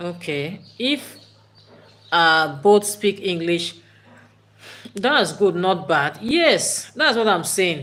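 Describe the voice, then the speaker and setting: A woman at medium pitch, very slow in pace, with lively intonation and long, frequent pauses. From Nigeria, Edo State (Benin City). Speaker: livestream host. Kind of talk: live stream chat with viewer comments. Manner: conversational, repetitive.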